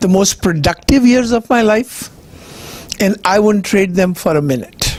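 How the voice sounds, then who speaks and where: Ordinary pitch variation and very even loudness at a fairly slow pace, over noticeable background noise. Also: man, high pitch for a man. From India. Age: 70s. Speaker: cancer survivor speaker. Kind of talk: personal testimony talk.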